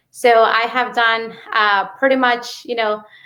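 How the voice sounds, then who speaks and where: With a Mexican accent, a woman talks at a fairly slow pace in a bright, sharp tone. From Mexico. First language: Spanish. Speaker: real estate investor. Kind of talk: interview. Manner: many fillers and hesitations.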